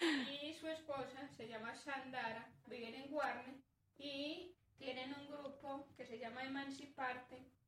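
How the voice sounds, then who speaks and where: Very slow, high-pitched speech from a woman, the intonation fairly even. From Colombia, northern Antioquia. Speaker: herbalist and community worker. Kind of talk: interview conversation.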